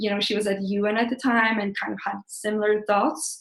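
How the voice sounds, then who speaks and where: A woman talks at a fairly quick pace with a fairly high pitch. She speaks with a Swedish accent. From Sweden. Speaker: blogger and career coach. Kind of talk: live webinar presentation. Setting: online webinar. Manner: casual, with filler words.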